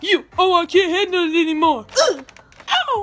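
A cartoonish character voice from a man, extremely high-pitched, at a moderate pace. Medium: puppet.

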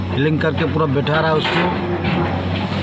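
Someone speaks at a very slow pace against loud background noise. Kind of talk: casual vlog commentary. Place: open country. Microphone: phone near.

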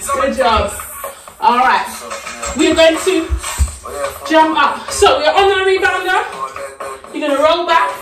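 Amid audible room echo and clear music in the background, a woman speaks at an extremely high pitch with long, frequent pauses. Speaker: fitness instructor. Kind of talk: workout instruction with counting. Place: home room. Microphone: camera far.

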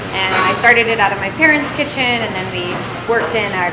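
Loud background noise runs under this recording. A woman talks at a fairly quick pace. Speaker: interview guest. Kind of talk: interview answer. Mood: relaxed, friendly. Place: shop.

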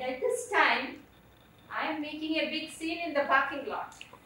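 With a raised, projected voice, a woman in an Indian accent speaks at a moderate pace with a high pitch and lively intonation, amid audible room echo and light background noise. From India, Kerala. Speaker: storyteller. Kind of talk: personal storytelling on stage. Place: stage.

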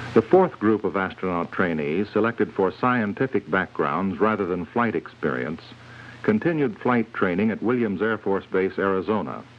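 A man speaks in an unremarkable speaking voice, fairly low in pitch. His intonation is lively and his pace moderate. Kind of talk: scripted documentary narration. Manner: formal, measured, authoritative newsreel-style delivery; even, steady, unemotional pacing.

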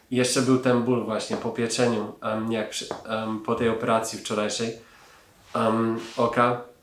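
A man talks at a fairly slow pace with monotone, flat intonation, with audible room echo and light background noise. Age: 30s. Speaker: laser eye surgery patient. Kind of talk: patient testimonial. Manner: hesitant, frequent fillers. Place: office.

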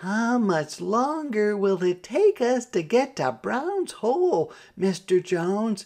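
A man puts on a character voice, pitched high and slightly mellow in tone. He speaks slowly with big pitch swings.

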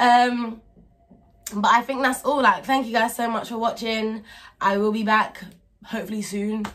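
A woman with a fairly high pitch speaks at a moderate pace with fairly even intonation and long, frequent pauses. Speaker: vlogger. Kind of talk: casual vlog outro. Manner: rambling, hesitant with ums. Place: home room. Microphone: phone near.

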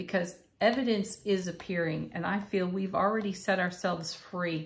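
A woman speaks at a fairly slow pace with fairly even intonation. Her voice is somewhat breathy. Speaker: tarot card reader. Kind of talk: spiritual reading monologue. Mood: warm, encouraging. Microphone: phone near.

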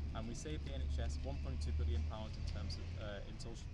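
A man speaks at a moderate pace. Loud background noise is present. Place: street. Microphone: camera far.

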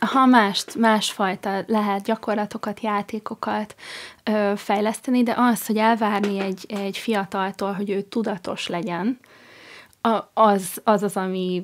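A woman's monotone, flat intonation at a fairly slow pace, against a quiet background. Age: 30s. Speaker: emotional intelligence coach. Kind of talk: radio interview. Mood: warm, smiling. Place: studio. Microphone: studio mic.

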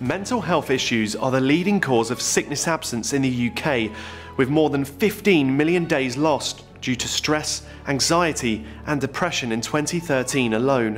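With faint music in the background, a man speaks at a moderate pace in a fairly high pitch with lively intonation. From United Kingdom. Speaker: TV presenter. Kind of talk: corporate narration. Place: studio.

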